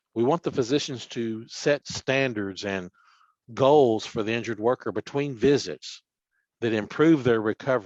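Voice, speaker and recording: A man speaks with a Tennessee accent at a medium pitch. His pace is moderate and his pitch variation ordinary. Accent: Southern US (Tennessee). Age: 60s. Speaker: workers' compensation official. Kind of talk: webinar presentation. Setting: online webinar.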